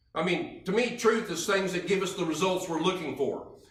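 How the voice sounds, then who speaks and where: A man speaks at a moderate pace with a high pitch and ordinary pitch variation. Audible room echo and noticeable background noise accompany him. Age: 60s. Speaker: health product presenter. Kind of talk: sales pitch. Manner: repetitive, halting restarts.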